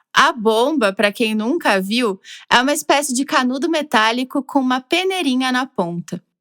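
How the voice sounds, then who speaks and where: With a southern Brazilian accent, a woman speaks at a moderate pace in a high pitch with lively intonation, the sound dry and close with no echo. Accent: gaúcho Brazilian Portuguese. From southern Brazil, Rio Grande do Sul (Porto Alegre). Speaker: podcast narrator. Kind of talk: scripted narration.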